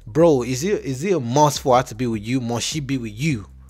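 A man with lively intonation, music playing behind him. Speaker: reaction video host. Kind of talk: casual commentary. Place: home room. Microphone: handheld.

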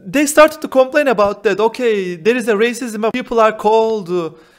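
In a Turkish accent, a man talks at a moderate pace with an extremely high pitch and ordinary pitch variation against a quiet background. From Turkey. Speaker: exchange student; interview guest. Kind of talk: interview; interview answer. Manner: halting. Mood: calm, relaxed. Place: home room. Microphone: handheld.

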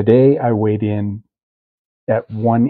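The voice is quiet. Its intonation stays fairly even. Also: man. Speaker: diet vlogger, hunter. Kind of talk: casual vlog update. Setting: home kitchen at night. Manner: hushed, keeping voice down; hesitant, many fillers.

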